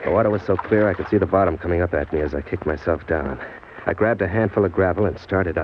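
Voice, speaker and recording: Noticeable background noise accompanies very fast speech in an American accent with ordinary pitch variation. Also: man, very deep, low pitch for a man. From New York City. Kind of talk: old-time radio drama, first-person narration and dialogue.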